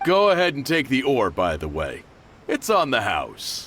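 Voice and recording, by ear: A man's cartoonish character voice at medium pitch, with very wide pitch swings and a fairly slow pace. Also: fairly bright tone.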